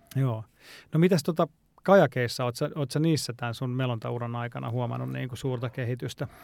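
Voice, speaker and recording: In a very clean recording with a silent background, a man with an ordinary speaking voice talks at a fairly quick pace, at a medium pitch with ordinary pitch variation. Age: young. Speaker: podcast host. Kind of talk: casual interview.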